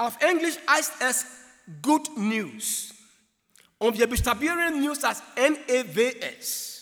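Speaking very slowly with long, frequent pauses, a man uses an extremely high pitch. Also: ordinary pitch variation. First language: not German (speaking German). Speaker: preacher. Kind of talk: sermon.

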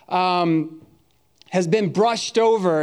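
A loud, high-pitched man with an American accent, fairly slow pace, ordinary pitch variation and audible room echo. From US Northeast. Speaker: pastor. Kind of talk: sermon. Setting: church.

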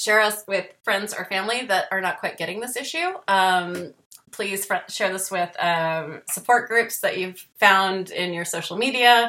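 A woman in a normal speaking voice talks at medium pitch and a fairly slow pace, with ordinary pitch variation and hardly any pauses. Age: 40s. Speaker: podcast host. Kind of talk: casual chat; show outro. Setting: video call.

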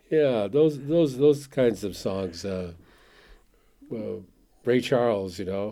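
Speaking very slowly with long, frequent pauses, a man with an American accent uses a medium pitch, a dark, mellow tone and lively intonation. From Lummi Reservation, Washington State. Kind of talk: casual chat.

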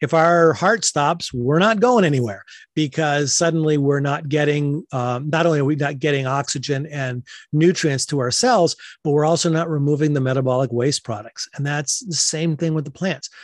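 Against a quiet background, a man with an American accent and an unremarkable speaking voice talks at a moderate pace, fairly high in pitch with ordinary pitch variation. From western Massachusetts. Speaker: hydroponic greenhouse grower. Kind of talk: interview.

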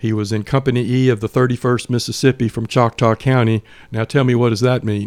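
In a Georgia accent, a man of medium pitch speaks at a fairly quick pace with monotone, flat intonation and a dry, close sound with no echo. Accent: Southern American (Georgia). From US South, Atlanta area, Georgia. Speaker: lawyer and Civil War historian. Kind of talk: casual interview. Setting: studio.

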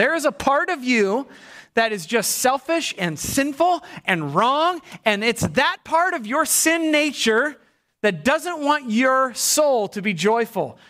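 Projecting a raised voice, a man speaks very slowly at an extremely high pitch with very wide pitch swings. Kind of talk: sermon. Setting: church. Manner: animated, emphatic, crowd-engaging.

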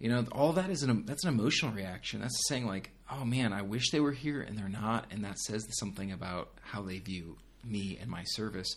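A man with an unremarkable speaking voice talks at a fairly quick pace in a fairly low pitch, with lively intonation. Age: 30s. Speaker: young adult pastor. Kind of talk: casual interview.

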